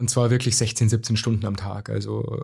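With vocal fry and monotone, flat intonation, a man talks at a moderate pace. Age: young. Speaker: corporate speaker. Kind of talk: interview. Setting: studio.

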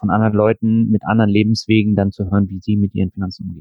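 The man's voice sits at a fairly low pitch. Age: 40s. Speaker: finance podcaster and blogger. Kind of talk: interview.

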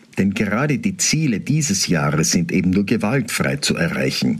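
Over noticeable background noise, a man talks at a fairly slow pace and medium pitch, his pitch swinging very widely. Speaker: Protestant pastor. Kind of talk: radio devotional reflection.

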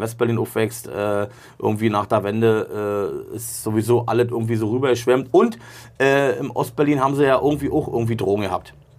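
At a moderate pace and with fairly even intonation, an unremarkable speaking voice is heard. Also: man. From East Berlin. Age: 40s. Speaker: rapper. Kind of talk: casual chat. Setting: studio.

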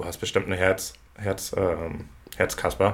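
A man's very slow delivery. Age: 30s. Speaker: burnout patient sharing his experience. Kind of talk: casual interview about personal experience.

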